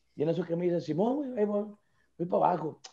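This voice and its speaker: Against a quiet background, a man with a Mexican accent speaks in a dark, mellow tone with ordinary pitch variation. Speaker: podcast co-host; podcast host. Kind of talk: casual chat. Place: home room. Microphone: video call.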